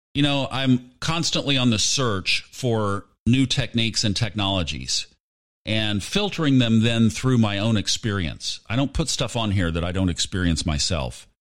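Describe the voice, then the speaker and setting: A man at medium pitch, with lively intonation and a moderate pace. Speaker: podcast host and audiobook narrator. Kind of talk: casual solo monologue. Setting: remote microphone while traveling.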